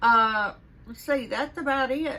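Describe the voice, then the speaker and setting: Her American accent comes through as this woman speaks at a fairly slow pace with a bright, sharp tone. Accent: Southern US accent, stronger when upset. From US South. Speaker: vlogger. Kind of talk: casual vlog monologue. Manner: chatty, with fillers and restarts; sarcastic.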